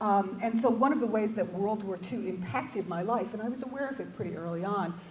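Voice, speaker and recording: Over noticeable background noise and audible room echo, a woman with an American accent speaks at a moderate pace. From New York City, Brooklyn. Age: 60s. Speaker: English professor. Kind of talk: lecture. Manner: halting, many fillers and repeats.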